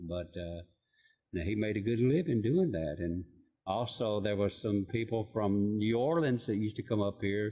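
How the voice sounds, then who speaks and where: A man's fairly low voice with a Tennessee accent, moderate pace and ordinary pitch variation. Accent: Southern US (Tennessee). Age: 60s. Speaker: barbershop owner. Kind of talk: casual interview.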